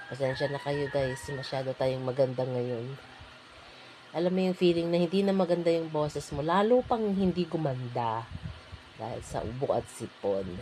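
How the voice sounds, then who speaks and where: The woman's pitch is very deep and low. Noticeable background noise runs behind her. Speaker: vlogger. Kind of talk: voice-over tutorial. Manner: casual, hesitant with fillers.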